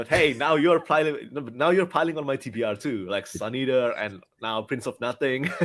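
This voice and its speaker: The speaker has a non-native accent and lively intonation. The pace is moderate. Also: man, medium pitch for a man. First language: not English. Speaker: book reviewer. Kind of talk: casual chat.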